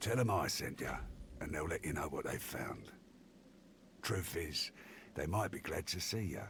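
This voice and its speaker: A man's gruff, drawling put-on character voice, very deep and low, at a moderate pace with lively intonation, long, frequent pauses and clear background noise. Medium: video game. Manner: gruff, informal drawl.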